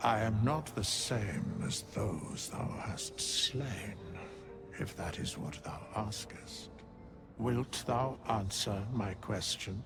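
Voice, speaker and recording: Putting on a character voice, a man speaks at a fairly low pitch and a very slow pace while clear music plays behind him. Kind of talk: archaic, solemn speech. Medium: video game. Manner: slow, grave, measured.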